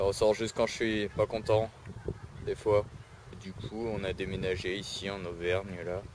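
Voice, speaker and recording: A man with a fairly low pitch speaks at a fairly slow pace in a monotone, flat intonation, leaving long, frequent pauses. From southern France, Istres (Provence). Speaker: vlogger. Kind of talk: casual vlog. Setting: outdoors in a park. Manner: hesitant, many fillers and repetitions.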